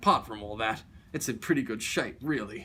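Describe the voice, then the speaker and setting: A man puts on a whiny character voice at medium pitch. He talks at a fairly quick pace. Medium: read story. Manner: meek, whiny.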